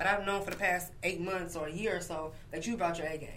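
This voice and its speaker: Amid noticeable background noise, a woman speaks at a very fast pace in a monotone, flat intonation. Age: 30s. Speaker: podcast guest. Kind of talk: casual chat. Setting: studio.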